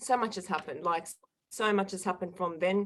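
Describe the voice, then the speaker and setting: A woman speaks in an Australian accent at a medium pitch. Her tone is bright and sharp, and her intonation fairly even. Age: 20s. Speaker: guest sharing personal recovery story. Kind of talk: interview testimony.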